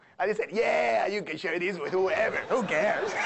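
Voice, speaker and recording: A man talks at a fairly quick pace. There is audible room echo and noticeable background noise. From Venezuela. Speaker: economics professor. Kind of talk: lecture. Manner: animated.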